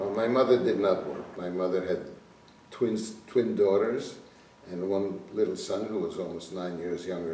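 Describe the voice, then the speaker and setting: With noticeable background noise and audible room echo, a man with a fairly low voice speaks at a moderate pace and fairly even intonation. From Slovakia. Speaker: Holocaust survivor. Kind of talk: testimony.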